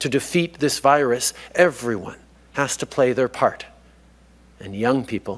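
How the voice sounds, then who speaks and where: With long, frequent pauses and big swings in loudness, a man speaks at a moderate pace, medium pitch and ordinary pitch variation. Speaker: prime minister giving a commencement address. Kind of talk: commencement speech to graduates.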